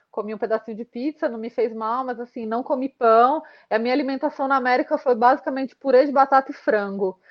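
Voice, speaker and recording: Very fast delivery with fairly even intonation and big swings in loudness. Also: woman, high pitch for a woman. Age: 30s. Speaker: marathon runner. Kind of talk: casual chat.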